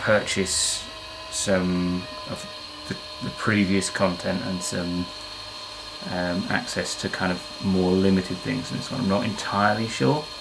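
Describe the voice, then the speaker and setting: Through noticeable background noise, a man with a very deep, low pitch speaks at a fairly slow pace, with long, frequent pauses. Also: ordinary pitch variation. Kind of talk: casual vlog chat. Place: workshop.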